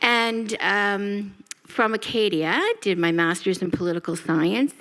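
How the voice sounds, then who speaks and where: A woman speaks with a Nova Scotian accent. Her pitch is medium and her pace fairly slow. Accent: Nova Scotian Canadian English. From Halifax, Nova Scotia, Canada. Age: 60s. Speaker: nonprofit CEO. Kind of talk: panel introduction.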